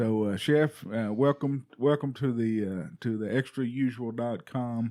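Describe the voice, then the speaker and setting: Here is a man with a Texas accent. His tone is dark and mellow. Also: medium pitch for a man, ordinary pitch variation, fairly slow pace. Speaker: podcast host. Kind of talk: casual monologue; casual interview. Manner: halting, many fillers.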